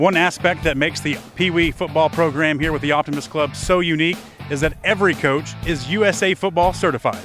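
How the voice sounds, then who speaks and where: Over music in the background, a man talks at a fairly quick pace in a fairly high voice with fairly even intonation. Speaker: sports reporter. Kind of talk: news reporting.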